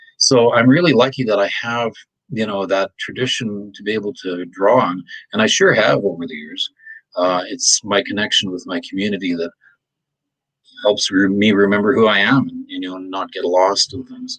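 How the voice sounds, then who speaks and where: Speech moves at a moderate pace. The pitch varies in an ordinary way. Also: man, fairly low pitch for a man, big swings in loudness. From Manitoba, Canada. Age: 60s. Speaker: retired social work instructor. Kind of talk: interview. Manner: halting, many fillers.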